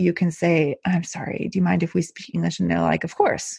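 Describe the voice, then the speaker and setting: A woman speaks in an American accent with a dark, mellow tone at a medium pitch. Her pitch variation is ordinary, and the background is quiet. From Texas, El Paso. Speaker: podcast host, expat parent. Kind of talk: casual interview.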